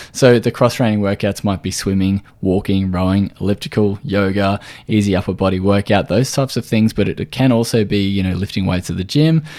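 A man with an Australian accent, fairly low in pitch and dark, mellow in tone, moving at a fairly quick pace with ordinary pitch variation, in a very clean recording with a silent background. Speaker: podcast host, nutritional therapist. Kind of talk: solo podcast tutorial.

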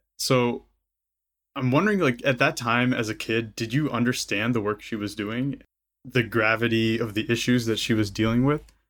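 A man speaks with an American accent in a plain, everyday voice at a medium pitch. His intonation is fairly even, and the recording is very clean with a silent background. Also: moderate pace. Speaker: podcast host. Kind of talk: interview conversation.

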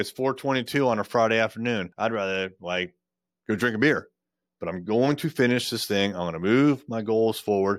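A man with an ordinary speaking voice, medium pitch and ordinary pitch variation, at a fairly quick pace on a very clean recording with a silent background. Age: 50s. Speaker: podcast host and business owner. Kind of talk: casual solo monologue. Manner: casual, conversational.

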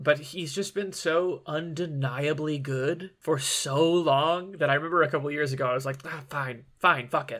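A man with an American accent speaks in a fairly high, bright, sharp voice, with fairly even intonation and hardly any pauses. The recording is very clean, with a silent background. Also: moderate pace. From Michigan. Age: 30s. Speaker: comedian. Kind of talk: casual chat.

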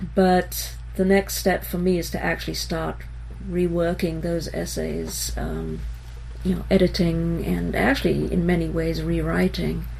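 Over noticeable background noise and audible room echo, a woman talks at a very deep, low pitch and a fairly slow pace, with ordinary pitch variation. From Israel. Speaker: textile artist and math professor. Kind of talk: interview. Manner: hesitant, many fillers.

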